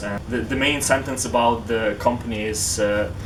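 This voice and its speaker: A man's medium-pitched, fairly even-toned speech with a Ukrainian accent amid noticeable background noise. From Western Ukraine. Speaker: tech company founder and university student. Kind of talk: interview answer.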